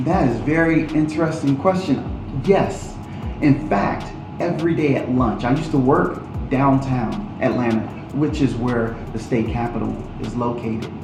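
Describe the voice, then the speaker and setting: A man talks at a moderate pace with medium pitch and ordinary pitch variation. Music plays in the background, and the room echo is audible. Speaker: political candidate. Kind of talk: interview.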